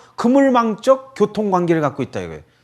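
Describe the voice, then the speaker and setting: Speaking at a fairly quick pace with a slight Chungcheong accent, a man has a high pitch and very wide pitch swings. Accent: slight Chungcheong dialect slips out. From Korea, Chungcheong family. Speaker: lecturer on Buddhism. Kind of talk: radio lecture. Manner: casual, conversational.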